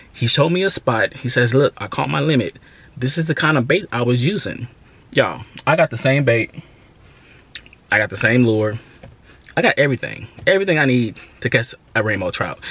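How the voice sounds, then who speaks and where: A man talks at a fairly quick pace, the sound dry with no echo. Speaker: fishing vlogger. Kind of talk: casual vlog chat. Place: car. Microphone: phone near.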